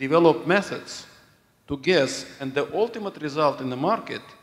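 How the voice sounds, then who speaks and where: Music in the background behind a man's lively intonation. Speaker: audience member asking question. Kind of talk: audience question.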